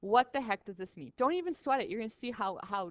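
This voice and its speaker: A woman speaks with a bright, sharp tone and animated delivery. The sound is dry and close, with no echo. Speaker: high school chemistry teacher. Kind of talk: lecture. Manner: casual, animated.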